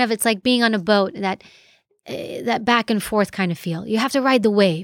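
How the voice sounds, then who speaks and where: Over a silent background on a very clean recording, a woman speaks at a moderate pace with lively intonation. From New York City. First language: Greek. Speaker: former federal agent, author and professor. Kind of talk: casual interview chat.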